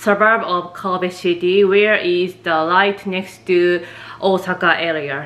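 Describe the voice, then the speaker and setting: Here a woman speaks with a Japanese accent. Her pace is very slow. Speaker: office worker and vlogger. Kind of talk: casual vlog talk to camera. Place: home room. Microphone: phone near.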